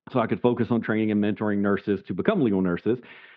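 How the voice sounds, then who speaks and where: A man speaks with a Southern US accent at a fairly low pitch. His intonation stays fairly even. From US South, South Carolina. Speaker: legal nurse consultant. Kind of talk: podcast interview. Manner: casual, conversational.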